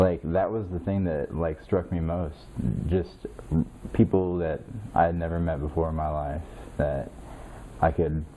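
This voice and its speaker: A man with a Midwestern American accent talks fairly slowly in a very deep, low voice, his intonation fairly even and broken by long, frequent pauses. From Indiana, US Midwest. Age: 30s. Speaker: military veteran. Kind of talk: interview. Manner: halting, many fillers.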